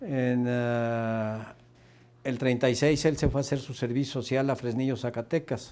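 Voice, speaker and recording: Fairly even in intonation, a man speaks at a fairly slow pace with a medium pitch and a dark, mellow tone. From Aguascalientes, Mexico. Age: 70s. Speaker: retired university director. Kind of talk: interview. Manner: halting.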